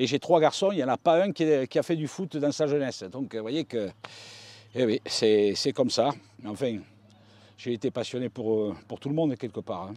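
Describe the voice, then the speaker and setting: The speech moves at a moderate pace with lively intonation and long, frequent pauses. The sound is dry and close with no echo against a quiet background. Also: man, medium pitch for a man. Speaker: football radio commentator. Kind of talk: interview.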